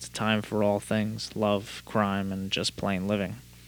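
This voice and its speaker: A man with an unremarkable speaking voice. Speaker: podcast host. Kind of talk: casual podcast chat with hard-boiled noir narration. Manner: casual, chatty, filler-heavy; noir narration: gruff, dry, world-weary private-eye delivery.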